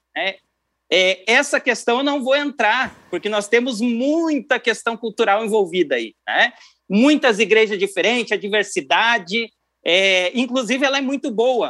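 A man with a southern Brazilian accent talks at an extremely high pitch, with a bright, sharp tone and ordinary pitch variation. The recording is very clean, with a silent background. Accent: southern Brazilian (gaúcho) Portuguese. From Rio Grande do Sul, Brazil (Cruz Alta). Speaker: keyboardist and music producer. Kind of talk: interview.

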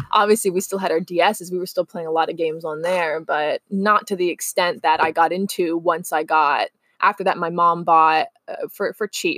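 Hardly pausing, a woman speaks in a normal speaking voice with a fairly low pitch and fairly even intonation, in a dry, close sound with no echo. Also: moderate pace. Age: 20s. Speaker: podcast co-host. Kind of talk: casual chat.

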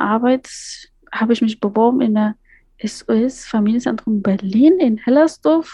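A woman with an Afghan accent speaks at a moderate pace in a fairly high, somewhat breathy voice with a dark, mellow tone, recorded dry and close with no echo. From Afghanistan, Kabul. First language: Dari (speaking German). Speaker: migrant advocate and educator. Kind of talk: interview.

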